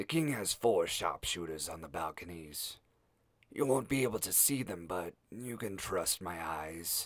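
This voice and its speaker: A man puts on a raspy character voice at a fairly low pitch and a moderate pace. The recording is very clean, with a silent background. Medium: read story. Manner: calm, matter-of-fact.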